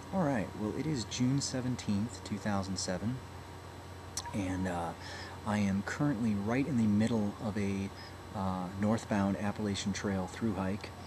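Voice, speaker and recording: A man with a fairly low pitch and ordinary pitch variation at a fairly slow pace, against noticeable background noise. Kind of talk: casual vlog chat. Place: home room. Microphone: webcam.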